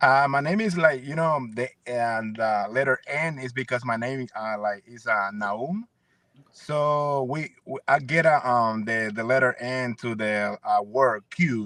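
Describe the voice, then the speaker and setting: A man's bright, sharp voice at medium pitch, with a Spanish accent, ordinary pitch variation and a fairly slow pace. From El Salvador, San Miguel. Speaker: singer and producer. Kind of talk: interview. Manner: halting.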